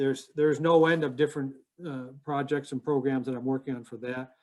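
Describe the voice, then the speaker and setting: The speaker has an American accent. Intonation stays fairly even. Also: man. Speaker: former army intelligence officer. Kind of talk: interview. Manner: fast; halting.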